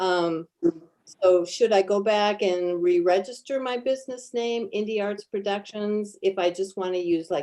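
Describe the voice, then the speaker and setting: A woman's dark, mellow voice with lively intonation. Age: 60s. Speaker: small business owner. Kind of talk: question from participant.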